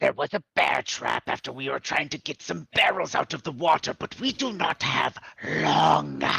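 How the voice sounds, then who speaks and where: A put-on character voice growls throughout. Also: moderate pace. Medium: actual play. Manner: formal, no contractions.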